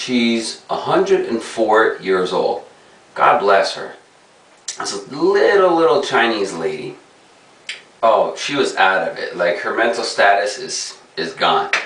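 Audible room echo around a man's fairly slow speech. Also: big swings in loudness. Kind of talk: casual vlog chat. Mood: amused, storytelling. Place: bathroom. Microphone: camera far.

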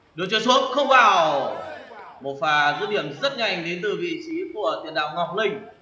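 A man speaks in a raised, projected voice with very wide pitch swings. His pace is moderate, with noticeable background noise. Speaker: football commentator. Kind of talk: live commentary.

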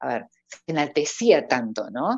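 Over a quiet background, a woman speaks at a very slow pace with a very deep, low pitch, the sound dry with no echo. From Argentina, Córdoba; Argentina. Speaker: professional voice-over artist and announcer; announcer. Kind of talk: casual interview. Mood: cheerful, laughing. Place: home room. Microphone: earbuds.

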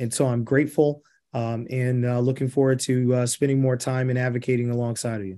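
Against a quiet background, a man with an American accent talks fairly quickly in a dark, mellow tone and a flat, monotone delivery. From Indiana. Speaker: real estate developer; guest. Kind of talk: presentation and Q&A. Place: home room. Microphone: video call.

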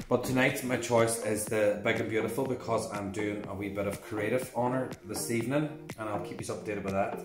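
Clear music plays in the background as a man speaks at a moderate pace with fairly even intonation. His voice carries audible room echo. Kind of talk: tutorial. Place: shop. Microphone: camera far.

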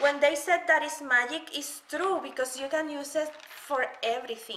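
With audible room echo around her, a woman speaks at a fairly slow pace in a high pitch, using a bright, sharp tone and ordinary pitch variation.

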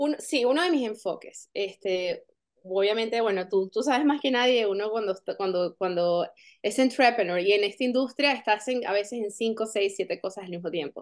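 Her pace is moderate, and her pitch variation is ordinary. The woman is heard against a quiet background. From Venezuela. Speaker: actress. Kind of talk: interview. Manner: halting, many fillers and repetitions. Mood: warm, smiling. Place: home room. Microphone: video call.

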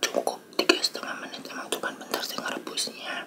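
A soft-spoken man is whispering over loud background noise. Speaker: eating vlogger. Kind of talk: casual vlog chat. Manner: soft ASMR whisper, close to mic. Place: home room. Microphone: phone near.

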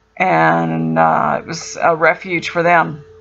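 A woman's voice with ordinary pitch variation over faint music in the background. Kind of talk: casual travel commentary. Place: car. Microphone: camera far.

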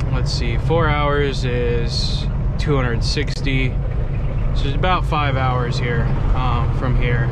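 Loud background noise sits under a man talking at a fairly slow pace. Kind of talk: casual vlog chat. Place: car.

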